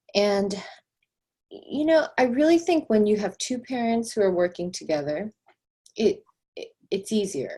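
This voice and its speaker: With a Korean accent, a woman speaks at a fairly slow pace in a fairly high pitch, her dark, mellow tone somewhat breathy, with very wide pitch swings and long, frequent pauses. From South Korea, moved to US at about five. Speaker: real estate agent. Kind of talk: interview testimony.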